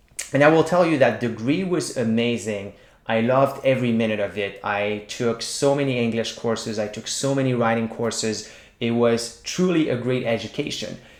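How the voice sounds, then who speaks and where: With audible room echo, a man in a Quebec accent talks at a moderate pace and medium pitch, with ordinary pitch variation. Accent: Québécois French-accented English. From Quebec, small town. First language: French. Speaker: writing teacher. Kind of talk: tutorial.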